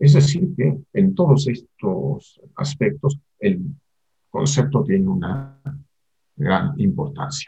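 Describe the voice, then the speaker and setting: With a fairly high pitch, a dark, mellow tone and vocal fry, a man speaks at a very slow pace using lively intonation. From Argentina. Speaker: psychoanalyst and university lecturer. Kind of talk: interview.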